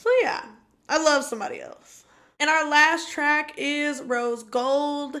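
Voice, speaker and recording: A woman raises and projects her high-pitched voice, bright and sharp in tone, with lively intonation and big swings in loudness. She speaks at a very slow pace. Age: 20s. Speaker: podcast co-host. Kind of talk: casual chat.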